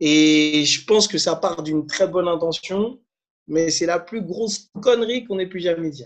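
Animated in tone, a man talks at a high pitch with ordinary pitch variation. His pace is fairly slow. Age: 30s. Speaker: coach and former musician. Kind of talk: interview.

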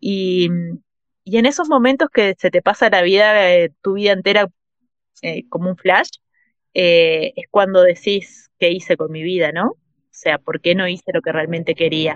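A woman talks at a fairly slow pace and a medium pitch with ordinary pitch variation, taking long, frequent pauses. The sound is dry and close, with no echo. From Uruguay. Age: 40s. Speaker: traveller and writer. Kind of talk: interview.

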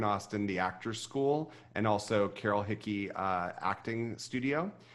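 A man with an American accent speaks at medium pitch with ordinary pitch variation. His is a plain, everyday voice, heard against a quiet background. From Ohio River valley, US (Ohio/West Virginia/Pennsylvania border). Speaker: vocal coach and music director. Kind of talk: interview.

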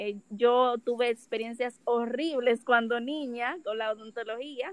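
A woman with a Dominican accent speaks at a high pitch. Her pace is fairly slow. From Dominican Republic. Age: 20s. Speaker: dental student, podcast co-host. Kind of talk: casual chat.

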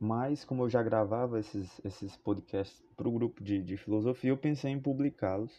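A man speaks at a medium pitch with hardly any pauses. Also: ordinary pitch variation, moderate pace. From Fortaleza, Ceará, Brazil. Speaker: philosophy teacher. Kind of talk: podcast monologue, educational. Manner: hesitant, with fillers and repetitions.

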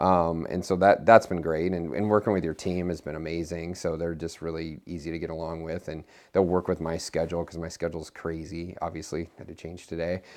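A man's very deep, low voice in a Midwestern American accent, fairly quick with hardly any pauses, monotone and flat in intonation, with big swings in loudness and a quiet background. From Nebraska, US Midwest. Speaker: physician and clinical researcher. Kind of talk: interview testimony.

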